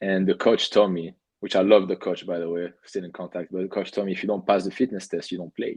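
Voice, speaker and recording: A man with a strong French accent talks at a very fast pace in a very deep, low pitch, his intonation monotone and flat. His loudness swings widely, and the sound is dry and close with no echo against a quiet background. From France, Cannes. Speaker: professional soccer goalkeeper. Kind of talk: podcast interview. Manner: halting, with fillers and repeats.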